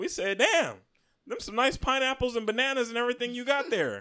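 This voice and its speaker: A man's raised, projected voice, bright and sharp in tone, at a very fast pace. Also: very clean recording, silent background. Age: 30s. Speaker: podcast host. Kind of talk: casual chat.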